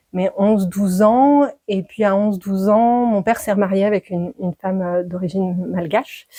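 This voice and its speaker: At a moderate pace, a woman talks in a dark, mellow tone with medium pitch and ordinary pitch variation. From France, Dordogne. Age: 40s. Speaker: midwife. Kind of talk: podcast interview. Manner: hesitant, many fillers.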